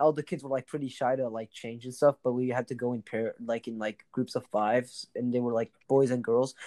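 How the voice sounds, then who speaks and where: The man's medium-pitched voice has a dark, mellow tone and monotone, flat intonation at a fairly quick pace, with a dry, close sound and no echo. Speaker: podcast co-host. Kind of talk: casual chat. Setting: remote call.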